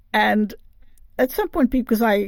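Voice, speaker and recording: A woman speaks at a fairly high pitch with vocal fry. The recording is very clean, the background silent. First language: not English. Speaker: podcast host interviewing writers. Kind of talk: interview.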